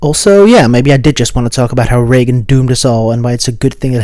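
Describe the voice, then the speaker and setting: A man with a Dutch accent talks at a very fast pace. His pitch sits in the medium range, and his intonation stays fairly even. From Netherlands. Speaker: video essayist. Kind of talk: video essay narration.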